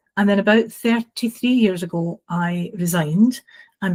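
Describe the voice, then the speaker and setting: A woman with a Glasgow accent speaks at a medium pitch, somewhat breathy, with ordinary pitch variation and a dry, close sound with no echo. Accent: Scottish (Glasgow). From Scotland, Glasgow. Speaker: housing training consultant. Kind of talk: podcast interview. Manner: hesitant fillers.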